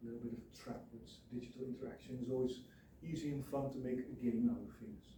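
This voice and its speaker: A man mumbles at a medium pitch in a dark, mellow, somewhat breathy tone. Audible room echo surrounds his voice. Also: ordinary pitch variation. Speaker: student teacher. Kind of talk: presentation. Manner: mumbling at sentence ends; halting.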